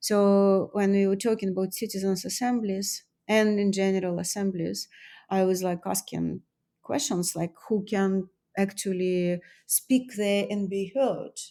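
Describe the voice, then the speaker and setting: The speech is fairly slow, with a dark, mellow tone and fairly even intonation. The recording is very clean, with a silent background. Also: woman, medium pitch for a woman. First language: not English. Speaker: artist and author. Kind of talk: interview. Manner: halting.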